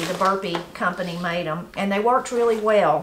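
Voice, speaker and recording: A woman's fairly quick speech comes through with noticeable noise in the background. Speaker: gardening channel host. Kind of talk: casual tutorial chat. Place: home room.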